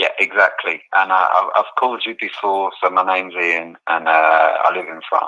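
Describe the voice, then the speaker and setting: In an English accent, the bright, sharp voice keeps a moderate pace and fairly even intonation while its loudness swings widely. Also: man, very deep, low pitch for a man. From England. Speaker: caller. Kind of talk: call-in conversation. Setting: phone call.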